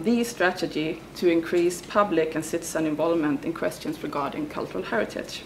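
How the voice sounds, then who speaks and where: Over noticeable background noise, a woman speaks at a fairly quick pace in a fairly low voice with ordinary pitch variation. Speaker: academic researcher. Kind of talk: conference talk read from paper. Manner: halting with fillers.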